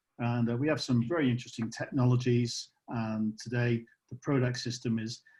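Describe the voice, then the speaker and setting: A man with a British accent, dark and mellow in tone, somewhat breathy, with monotone, flat intonation. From UK. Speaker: company co-founder. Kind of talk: guest introduction on webinar. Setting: video call.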